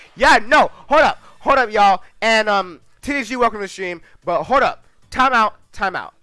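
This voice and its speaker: A man uses a raised, projected voice at high pitch with a bright, sharp tone. The sound is dry, with no echo. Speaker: gaming livestreamer. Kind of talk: live gameplay commentary. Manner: animated.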